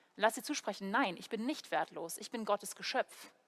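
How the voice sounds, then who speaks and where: The speech moves at a moderate pace with ordinary pitch variation. The sound is dry and close with no echo. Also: woman. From Germany, Heidelberg. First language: English (speaking German). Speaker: preacher, theology student. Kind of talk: sermon. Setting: church video recording.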